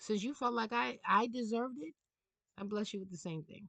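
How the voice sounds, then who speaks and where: Speaking at a moderate pace, a woman with a New York accent sounds animated. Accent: New York City. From New York City. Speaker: tarot reader. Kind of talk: casual monologue rant. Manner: halting.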